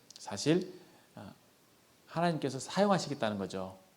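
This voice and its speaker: A man is speaking. Audible room echo is present. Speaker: youth group lay preacher. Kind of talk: sermon. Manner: fast.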